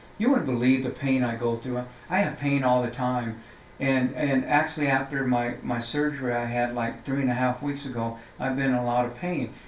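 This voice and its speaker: Amid noticeable background noise and audible room echo, a man at medium pitch talks at a moderate pace with fairly even intonation. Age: 60s. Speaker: city council member. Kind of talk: interview. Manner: halting, many repeated words.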